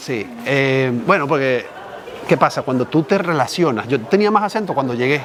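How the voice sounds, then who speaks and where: Over crowd noise in the background, a man with a fairly high voice talks at a moderate pace with lively intonation. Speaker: journalist and writer. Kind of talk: casual chat.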